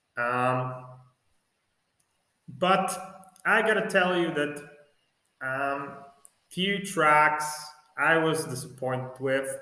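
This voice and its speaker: Slowly and with long, frequent pauses, a man with a Polish accent speaks in a fairly high pitch with ordinary pitch variation, and audible room echo surrounds him. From Poland. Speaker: music fan vlogger. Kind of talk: casual video review. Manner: halting, with many fillers.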